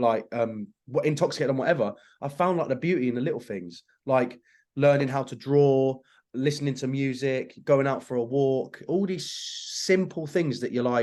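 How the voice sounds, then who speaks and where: A man's medium-pitched voice with a Yorkshire accent, a dark, mellow tone, ordinary pitch variation and a moderate pace. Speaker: actor and social media creator. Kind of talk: casual chat.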